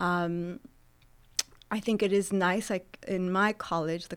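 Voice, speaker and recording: Speaking in an American accent, a woman keeps a moderate pace, medium pitch and fairly even intonation. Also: very clean recording, silent background. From Southern California (Santa Barbara). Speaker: professor. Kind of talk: interview.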